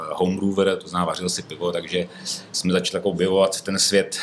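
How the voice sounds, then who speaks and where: A man speaks in a very deep, low voice. Noticeable background noise runs underneath. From northern Bohemia, Czech Republic (Ústí). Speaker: brewery owner and entrepreneur. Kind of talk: casual interview. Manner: hesitant, many fillers.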